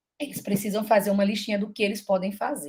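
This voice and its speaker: Her voice has a slight breathiness. The woman speaks at a medium pitch. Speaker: teacher giving a mentoring session. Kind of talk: online teacher training presentation.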